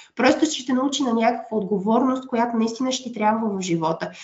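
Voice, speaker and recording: Here a woman talks in a high pitch. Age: 30s. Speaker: biologist, conservation project manager. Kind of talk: interview.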